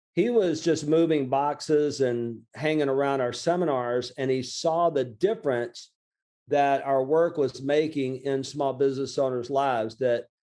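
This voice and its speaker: The voice carries a Southern US accent and a dark, mellow tone. It moves at a fairly slow pace with ordinary pitch variation. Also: man, fairly high pitch for a man. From Lower Alabama, USA. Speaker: small business coach and author. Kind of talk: interview answer. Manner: casual, conversational.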